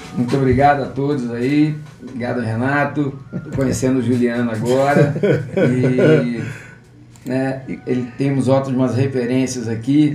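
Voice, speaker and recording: A man speaks in a flat monotone at medium pitch, going fairly slowly. Long, frequent pauses break up his speech, and the room echo is audible. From Petrópolis, Rio de Janeiro state, Brazil (born in Cataguases, Minas Gerais). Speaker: physical education teacher and gym manager. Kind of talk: interview.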